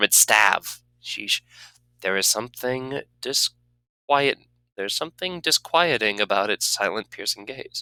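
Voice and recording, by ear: Reading aloud in a natural voice, with lively intonation, against a quiet background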